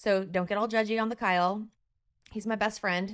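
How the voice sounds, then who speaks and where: A woman at a medium pitch in a very clean recording with a silent background. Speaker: podcast host. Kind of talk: casual chat. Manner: fast.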